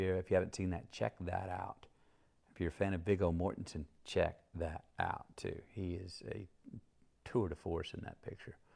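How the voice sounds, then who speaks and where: Soft-spoken and relaxed in tone, a man talks at a moderate pace with fairly even intonation. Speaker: actor discussing his film career. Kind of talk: casual rambling talk in an interview. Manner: soft-spoken, relaxed, rambling.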